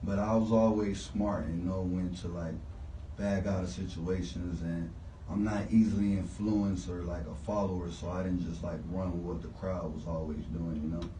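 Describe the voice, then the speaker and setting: A man with a very deep, low pitch and ordinary pitch variation speaks at a moderate pace amid noticeable background noise and audible room echo. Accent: American. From Houston, Texas (Southwest). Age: 20s. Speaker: rapper. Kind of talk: radio interview.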